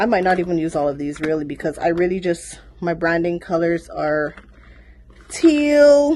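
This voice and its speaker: A woman speaks with a fairly low pitch. Her pitch swings very widely. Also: moderate pace. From Caribbean. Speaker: small business owner vlogger. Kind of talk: casual unboxing vlog.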